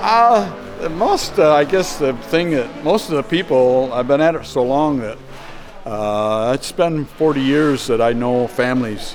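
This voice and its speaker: A man at a medium pitch and fairly slow pace, with ordinary pitch variation and noticeable background noise. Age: 70s. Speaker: sheep shearer and farm equipment mechanic. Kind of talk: casual interview. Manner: halting, with fillers and repeats.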